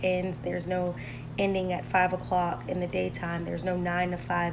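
A woman speaks at a moderate pace and fairly low pitch, with ordinary pitch variation and noticeable background noise. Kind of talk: casual vlog chat. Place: kitchen. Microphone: phone near.

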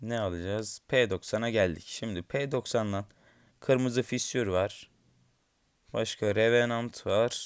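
At a very slow pace, a man talks at a medium pitch with fairly even intonation and long, frequent pauses. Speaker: gaming YouTuber. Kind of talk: gameplay commentary. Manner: low-energy.

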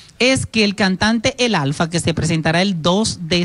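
Ordinary pitch variation marks this woman's speech, delivered at a moderate pace. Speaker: TV entertainment host. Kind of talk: TV entertainment news report. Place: studio. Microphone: handheld.

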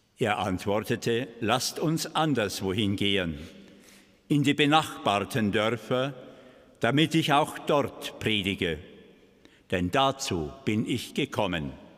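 A man speaks at a very slow pace. He leaves long, frequent pauses. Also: lively intonation, quiet background. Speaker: Gospel reader (priest or deacon). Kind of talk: liturgical Gospel reading. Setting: church. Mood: calm, solemn. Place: church. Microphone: podium.

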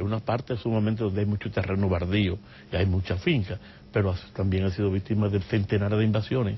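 Somewhat breathy, this man's voice races along at a very fast pace. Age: 60s. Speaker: human rights lawyer and activist. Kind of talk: TV interview.

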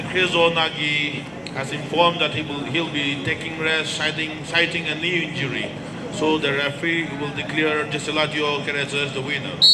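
Speech at a moderate pace runs over loud background noise. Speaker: stadium announcer. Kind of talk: live stadium announcing of wrestling results, formal and ceremonial. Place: stadium.

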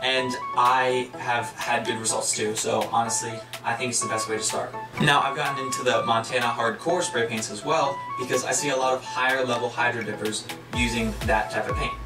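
A man talking at a fairly quick pace over clear background music. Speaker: hobby tutorial host. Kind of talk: tutorial. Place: home room.

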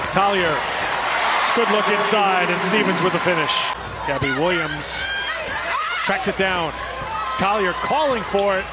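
Long pauses come often. The sound is dry with no echo, set against loud background noise. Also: moderate pace. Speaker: play-by-play announcer. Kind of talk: live sports commentary. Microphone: headset.

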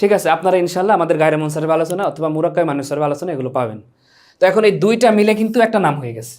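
A man's high voice with lively intonation on a very clean recording with a silent background. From Bangladesh, Bhola. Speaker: madrasa teacher. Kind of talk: lecture.

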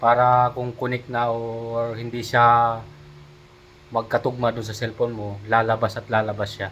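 A man speaks at a moderate pace in a medium pitch, his intonation flat and monotone while his loudness swings widely. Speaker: vlogger. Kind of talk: product review vlog.

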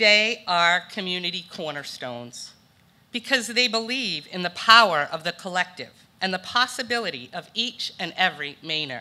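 In a bright, sharp tone, a woman speaks at a moderate pace. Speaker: presenter. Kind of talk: prepared award speech. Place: hall. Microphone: podium.

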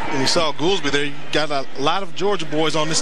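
A man's fairly high voice with ordinary pitch variation, over noticeable background noise. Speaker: color commentator, former football player. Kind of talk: live commentary. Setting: stadium broadcast booth.

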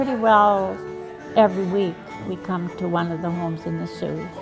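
Clear music plays in the background. Over it, a woman talks in a fairly low pitch. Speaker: pianist and musician. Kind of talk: casual interview answer. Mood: warm reminiscing. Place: hall. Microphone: lapel.

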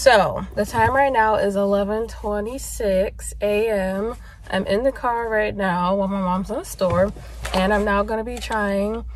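The pace is very slow. The sound is dry with no echo, over light background noise. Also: woman. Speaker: vlogger. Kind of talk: casual vlog chat. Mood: relaxed, pleased. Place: car. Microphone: phone near.

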